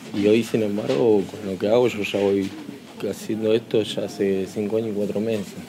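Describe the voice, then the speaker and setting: A man speaks in a fairly low pitch at a moderate pace, with fairly even intonation. Noticeable background noise runs under his voice. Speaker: inmate in braille workshop. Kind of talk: interview testimony. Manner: halting.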